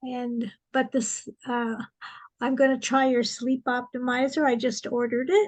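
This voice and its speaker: A woman's high-pitched voice moves at a fairly slow pace. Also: ordinary pitch variation. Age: 70s. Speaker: webinar attendee asking a question. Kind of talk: audience question. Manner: halting, many fillers.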